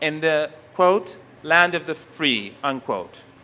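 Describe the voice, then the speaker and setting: A man with a Persian accent uses a raised, projected voice with a bright, sharp tone. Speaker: professor. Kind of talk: conference lecture. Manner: halting, with frequent self-corrections.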